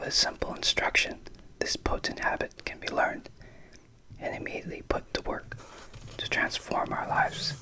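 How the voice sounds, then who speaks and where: Whispering in a soothing tone at a moderate pace, the speaker leaves long, frequent pauses over noticeable background noise. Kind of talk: ASMR book reading, whispered. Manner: whispered, soothing.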